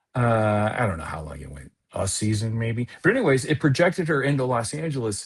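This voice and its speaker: Talking fairly quickly with hardly any pauses, a man with an American accent and a somewhat breathy, medium-pitched voice swings very widely in pitch and greatly in loudness. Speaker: comedian, improviser and actor. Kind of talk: casual podcast interview chat. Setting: podcast.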